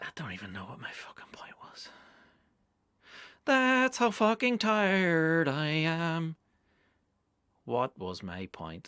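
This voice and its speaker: A man with a Northern Irish accent, very slow and with long, frequent pauses, his fairly high pitch swinging very widely, his bright, sharp tone showing big swings in loudness, on a very clean recording with a silent background and a dry, close sound with no echo. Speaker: comedian. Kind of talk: casual monologue podcast. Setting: home studio.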